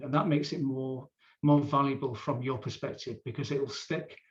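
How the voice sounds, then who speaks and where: A man's fairly high, somewhat breathy voice has a dark, mellow tone and a moderate pace. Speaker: workshop facilitator. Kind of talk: live online training session. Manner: informal, hesitant fillers.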